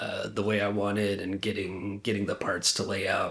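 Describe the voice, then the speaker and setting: A man talks at a fairly slow pace with a fairly low pitch. There is audible room echo around his voice. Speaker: independent musician. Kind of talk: interview. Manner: halting, many fillers.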